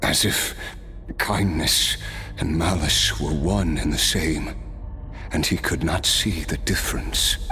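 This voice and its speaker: A man uses a cartoonish character voice pitched very deep and low, talking at a fairly slow pace. He leaves long, frequent pauses, and background noise is clear behind him. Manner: reflective, laughs often.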